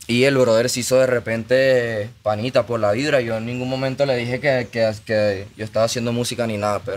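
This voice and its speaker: A man talks fairly quickly in a flat monotone, with hardly any pauses. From Venezuela, Maracaibo; Venezuela. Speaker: musician; podcast guest. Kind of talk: casual chat; interview answer, casual storytelling. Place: studio. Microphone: studio mic.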